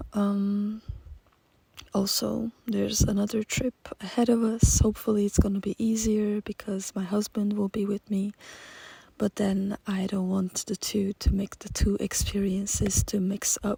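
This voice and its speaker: Speaking at a fairly slow pace, a woman keeps a medium pitch and a monotone, flat intonation. The sound is dry and close, with no echo. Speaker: journaling YouTuber. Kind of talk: casual vlog talk. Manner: halting.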